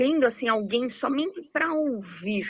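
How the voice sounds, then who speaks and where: A woman speaks in a cheerful, animated tone with very wide pitch swings. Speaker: radio host. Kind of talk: radio interview.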